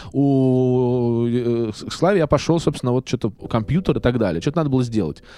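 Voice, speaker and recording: A man with a dark, mellow tone and a medium pitch speaks at a moderate pace with lively intonation and very even loudness. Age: 30s. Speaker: actor and video blogger. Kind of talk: casual chat. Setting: studio. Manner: halting.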